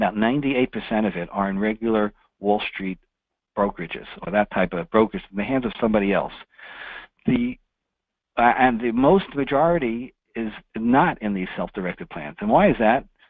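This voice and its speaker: A man with a New York accent, lively intonation, a fairly quick pace and long, frequent pauses. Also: medium pitch for a man. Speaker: financial services presenter and author. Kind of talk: webinar presentation. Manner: fast.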